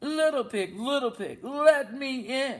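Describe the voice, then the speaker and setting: Someone uses a high-pitched put-on character voice at a fairly slow pace. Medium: read story. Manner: smooth, falsely polite.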